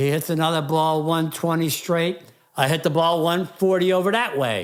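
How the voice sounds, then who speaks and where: A man speaks in an animated tone at a fairly slow pace in a very clean recording with a silent background. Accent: Philadelphia. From Philadelphia, US. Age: 70s. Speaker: military veteran and retired drywall contractor. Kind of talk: casual interview storytelling. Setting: studio.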